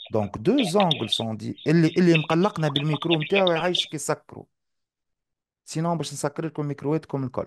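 A plain, everyday voice from a man, fairly high in pitch, with ordinary pitch variation at a moderate pace. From Tunisia. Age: 40s. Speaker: math teacher. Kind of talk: live online lesson. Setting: live online class.

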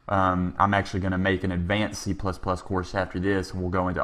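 A man speaks at a moderate pace with a Texan accent. His pitch is very deep and low, and his intonation stays monotone and flat. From Texas. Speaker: programming instructor. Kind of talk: tutorial.

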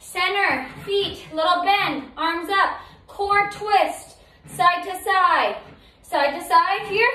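Raised and projected, the voice moves at a very slow pace with ordinary pitch variation and big swings in loudness, amid audible room echo. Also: woman. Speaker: fitness instructor. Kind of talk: workout instruction, counting. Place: home room. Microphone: camera far.

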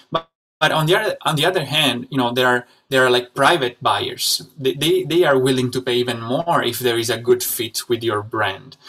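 A man with a medium pitch speaks in a bright, sharp tone. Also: ordinary pitch variation, moderate pace. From Italy. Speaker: e-commerce seller and podcast host; e-commerce seller, podcast host. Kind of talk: interview. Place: home room.

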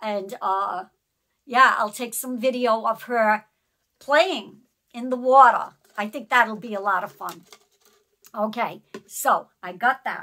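The speaker goes at a very slow pace with long, frequent pauses, big swings in loudness and ordinary pitch variation over a quiet background. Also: woman. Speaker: haul vlogger. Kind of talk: casual vlog chat. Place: home room. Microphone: phone near.

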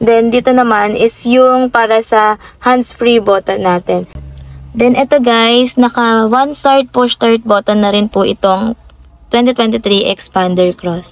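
The speech comes at a very slow pace with fairly even intonation and very even loudness, in a dry sound with no echo. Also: woman. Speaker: car sales agent. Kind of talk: product walkthrough. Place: car. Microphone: phone near.

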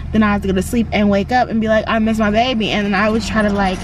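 The woman's voice sounds dry with no echo, over noticeable background noise. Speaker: mother vlogger. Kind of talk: casual vlog chat. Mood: emotional about child's school day. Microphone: phone near.

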